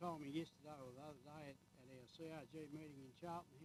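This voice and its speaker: This man has a rural Australian accent. He speaks at a moderate pace. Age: 80s+. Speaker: farmer. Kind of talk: heated debate.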